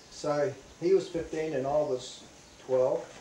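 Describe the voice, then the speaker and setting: A man with a New Zealand accent at a fairly slow pace, over noticeable background noise. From New Zealand, Northland. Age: 60s. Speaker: veteran surfer. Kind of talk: interview.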